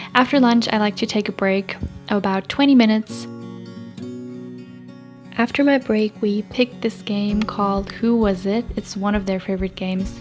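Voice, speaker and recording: Music plays behind a woman at medium pitch. She keeps a moderate pace and fairly even intonation. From Austria. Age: 20s. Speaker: au pair. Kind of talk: casual vlog narration.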